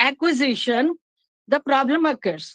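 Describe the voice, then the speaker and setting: A woman's high voice in a Punjabi Indian accent. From Punjab, India. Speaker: English literature teacher. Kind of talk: academic talk. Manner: halting, many fillers.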